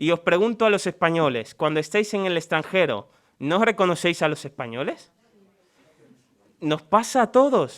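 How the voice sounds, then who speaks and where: With lively intonation and a high pitch, a man talks at a moderate pace, leaving long, frequent pauses. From Dominican Republic. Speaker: preacher. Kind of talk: sermon.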